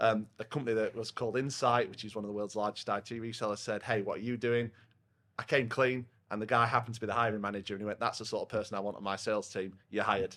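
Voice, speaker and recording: A loud, very fast man with a Yorkshire accent, medium-pitched, bright and sharp in tone, with fairly even intonation, on a very clean recording with a silent background. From northern England, South Yorkshire (Rotherham). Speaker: software company partnerships head. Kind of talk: casual podcast interview. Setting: pub, recorded over a beer.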